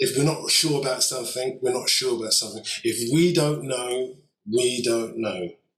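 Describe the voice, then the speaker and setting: With ordinary pitch variation, a man speaks in a somewhat breathy voice of medium pitch at a moderate pace. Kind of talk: casual chat.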